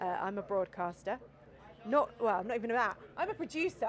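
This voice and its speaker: Speaking at a very fast pace, a woman moves through very wide pitch swings. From outside the US. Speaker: live stream presenter, volunteer producer. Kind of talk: live event commentary. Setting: outdoors at desert launch site. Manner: animated.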